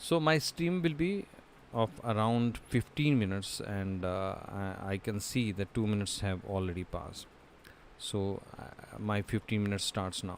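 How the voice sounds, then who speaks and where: A man with an Indian accent, fairly low in pitch, at a moderate pace and with lively intonation. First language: Hindi. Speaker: voiceover learner, streamer. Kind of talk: casual chat; reading aloud. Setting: live stream. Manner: hesitant, many fillers.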